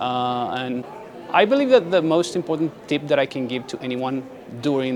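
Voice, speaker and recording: Over crowd noise in the background, a man with a medium pitch and ordinary pitch variation talks at a fairly quick pace. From Paraguay. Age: 20s. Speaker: graduate student. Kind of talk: interview tips.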